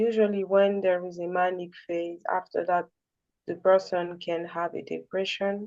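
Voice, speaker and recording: Her medium-pitched voice is monotone, with flat intonation. The woman speaks at a fairly slow pace. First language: not English. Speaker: caller on a support call. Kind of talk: personal sharing. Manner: halting.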